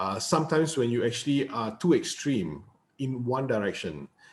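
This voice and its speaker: Somewhat breathy, a man talks at a medium pitch with lively intonation. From Malaysia. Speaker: interviewer. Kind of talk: interview.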